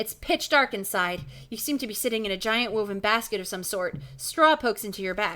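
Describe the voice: The plain reading aloud has lively intonation throughout.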